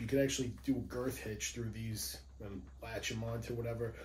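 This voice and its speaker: Speaking at a moderate pace, a man with a New York accent sounds somewhat breathy, with a dark, mellow tone. Audible room echo surrounds him. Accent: New York accent, noticeable. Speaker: police firearms instructor, gear reviewer. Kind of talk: product review video. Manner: casual, conversational.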